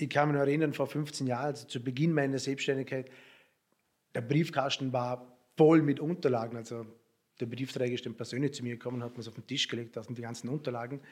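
Words come at a very fast pace. The intonation stays fairly even. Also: man, medium pitch for a man. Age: 30s. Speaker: recruitment business owner. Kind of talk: interview. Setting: office.

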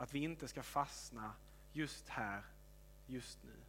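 A man speaks at a fairly slow pace. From Helsingborg, Skåne, southern Sweden. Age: 20s. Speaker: pastor. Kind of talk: sermon.

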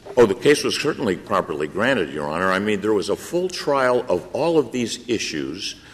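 Over noticeable background noise, a man talks at a fairly quick pace with very wide pitch swings and hardly any pauses. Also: medium pitch for a man. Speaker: attorney arguing before the court. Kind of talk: courtroom oral argument, polished legal advocacy. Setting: courtroom, Supreme Court hearing. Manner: formal, earnest, persuasive, respectful.

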